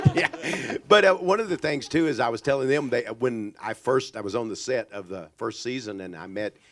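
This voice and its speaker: A man with a Texas accent, very wide pitch swings, big swings in loudness and hardly any pauses over noticeable background noise. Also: medium pitch for a man. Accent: Texas drawl. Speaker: author. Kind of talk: panel Q&A.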